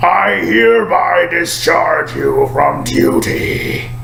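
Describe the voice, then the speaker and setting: A man performs a put-on character voice with clear background noise behind him. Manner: solemn.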